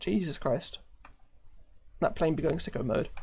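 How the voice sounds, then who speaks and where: A man with a strong British accent and a high pitch, at a moderate pace with ordinary pitch variation. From United Kingdom. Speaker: live streamer, gamer. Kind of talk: casual live stream chat.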